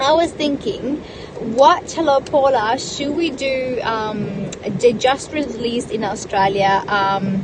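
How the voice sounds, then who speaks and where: A woman's high voice at a very slow pace with lively intonation, amid noticeable background noise. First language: Italian. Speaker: live streamer. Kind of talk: casual live stream chat. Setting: parked in a car. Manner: halting with many fillers.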